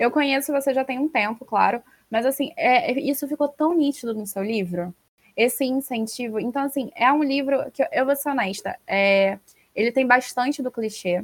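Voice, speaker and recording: The sound is dry and close with no echo. A woman talks at a moderate pace. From Rio de Janeiro. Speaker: podcast host, former teacher. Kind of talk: interview.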